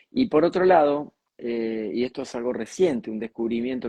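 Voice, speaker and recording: A man speaks in a Rioplatense accent at a moderate pace. His pitch is medium. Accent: Argentine Rioplatense Spanish. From Argentina, near Mar del Plata. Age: 60s. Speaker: communicator and speaker. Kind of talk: interview.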